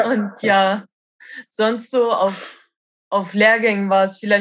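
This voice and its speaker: Over a quiet background, a woman speaks at medium pitch with monotone, flat intonation. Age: 20s. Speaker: roofer. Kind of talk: casual interview. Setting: at home.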